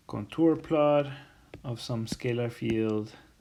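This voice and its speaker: There is audible room echo as a man speaks with ordinary pitch variation. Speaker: university lecturer. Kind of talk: recorded lecture. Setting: self-recorded lecture video. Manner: slow; halting, many fillers.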